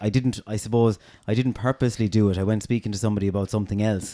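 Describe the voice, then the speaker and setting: In a very clean recording with a silent background and a dry, close sound with no echo, a man with an Irish accent speaks very fast in a fairly low pitch, with a dark, mellow tone and fairly even intonation. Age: 30s. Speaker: podcast host. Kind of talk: casual interview.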